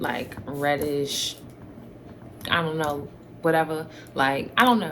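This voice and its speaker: A woman's very deep, low voice with ordinary pitch variation, at a very slow pace with long, frequent pauses, plus audible room echo and noticeable background noise. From New York. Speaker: YouTuber. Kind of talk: casual Q&A chat to camera. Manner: hesitant, many fillers.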